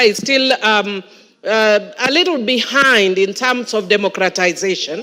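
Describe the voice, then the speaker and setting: A woman talks with lively intonation at a moderate pace. Noticeable background noise runs underneath. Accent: American. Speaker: member of parliament. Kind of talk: parliamentary speech. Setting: parliament chamber. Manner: animated.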